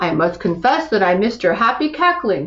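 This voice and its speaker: A woman uses a put-on character voice at a fairly high pitch. She speaks at a fairly quick pace with very wide pitch swings. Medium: read story.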